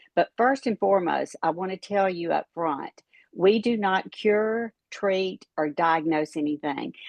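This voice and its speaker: This woman has a plain, everyday voice, pitched fairly low, with ordinary pitch variation and a fairly slow pace. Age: 60s. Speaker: retired pharmacist, product promoter. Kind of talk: testimony and sales pitch.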